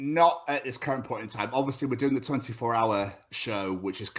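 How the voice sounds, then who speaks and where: On a very clean recording with a silent background, a man speaks with a southern English accent. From England, Cheltenham (born in Scotland). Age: 30s. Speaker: podcast host. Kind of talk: casual chat.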